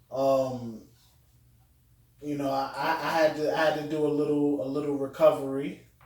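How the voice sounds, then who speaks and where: The voice is monotone, with flat intonation, at a moderate pace broken by long, frequent pauses. Room echo is audible and background noise is noticeable. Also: man, fairly high pitch for a man. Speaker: podcast guest. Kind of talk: casual chat. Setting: room with echo.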